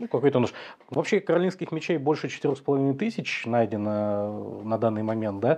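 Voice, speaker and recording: Lively intonation marks this man's speech, delivered in a dark, mellow tone. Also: fairly quick pace. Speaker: history channel host. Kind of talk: interview. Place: studio.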